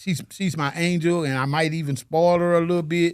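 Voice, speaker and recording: In a very clean recording with a silent background, a man talks at a moderate pace. He has a high pitch and an American accent. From US South, Chattanooga Tennessee. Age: 60s. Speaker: single father, painter. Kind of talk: interview, casual chat.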